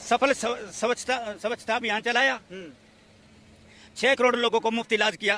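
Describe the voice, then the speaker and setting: With a dry, close sound and no echo, a man uses a raised, projected voice at an extremely high pitch, keeping a fairly even intonation and leaving long, frequent pauses. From Haryana. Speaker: comic poet. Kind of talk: street interview answer.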